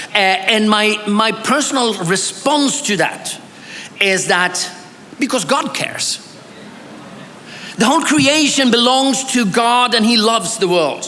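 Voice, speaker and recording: A man with a Swedish accent, high in pitch and in a raised, projected voice, at a fairly slow pace with long, frequent pauses, amid audible room echo and noticeable background noise. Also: ordinary pitch variation, very even loudness. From Bolivia, missionary kid of Swedish family. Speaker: pastor and theology scholar. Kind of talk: academic conference presentation. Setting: church conference with audience.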